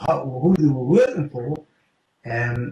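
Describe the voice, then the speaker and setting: Somewhat breathy, a man with a fairly high pitch speaks at a moderate pace. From United Kingdom. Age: 70s. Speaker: retired special forces operative. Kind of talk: interview answer.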